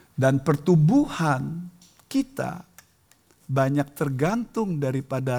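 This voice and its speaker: Somewhat breathy and dark, mellow in tone, a man speaks at a very slow pace with a fairly high pitch and ordinary pitch variation. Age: 60s. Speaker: preacher. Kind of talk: sermon.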